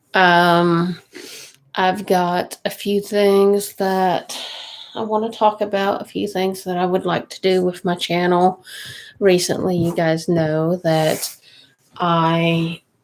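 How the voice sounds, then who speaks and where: In a Kentucky accent, the speaker talks at a very slow pace with monotone, flat intonation and long, frequent pauses. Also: woman, medium pitch for a woman. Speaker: budgeting vlogger, mom. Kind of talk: casual livestream chat. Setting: home livestream at night.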